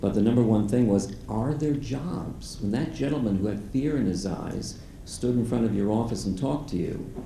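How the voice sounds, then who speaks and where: Hardly pausing at all, a man speaks with ordinary pitch variation amid audible room echo. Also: medium pitch for a man, moderate pace. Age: 70s. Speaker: volunteer career coach. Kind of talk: audience Q&A at event.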